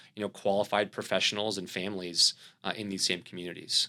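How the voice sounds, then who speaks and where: A man with an American accent has a bright, sharp tone in a very clean recording with a silent background. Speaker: company CEO. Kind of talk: podcast interview. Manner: halting, many fillers.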